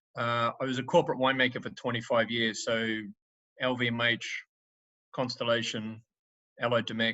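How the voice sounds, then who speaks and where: This man speaks in a monotone, flat intonation. He leaves long, frequent pauses. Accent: New Zealand. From New Zealand, Northland. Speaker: winemaker. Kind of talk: wine tasting presentation. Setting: video call.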